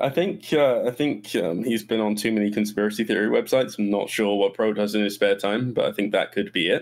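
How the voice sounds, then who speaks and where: A man with an English accent speaks fairly quickly at a fairly low pitch with hardly any pauses, very even loudness and ordinary pitch variation. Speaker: gaming community moderator. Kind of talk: casual chat. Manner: halting, repeats words.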